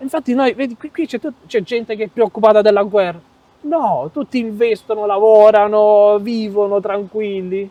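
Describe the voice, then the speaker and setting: A dark, mellow voice speaks at a moderate pace with ordinary pitch variation, recorded dry and close with no echo. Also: man, high pitch for a man. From Europe. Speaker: European expat interviewee. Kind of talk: interview.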